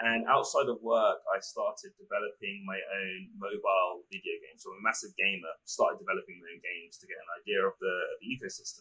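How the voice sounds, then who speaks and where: Very fast and with hardly any pauses, a man with an English accent talks in big swings of loudness. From London, England. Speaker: startup founder and CEO. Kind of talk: interview.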